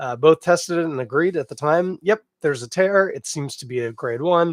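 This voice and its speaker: A man talks at a moderate pace in a plain, everyday voice. His pitch variation is ordinary, and the background is quiet. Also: dry, close sound with no echo. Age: 40s. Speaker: beer podcast host. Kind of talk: casual solo podcast monologue. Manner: relaxed, conversational.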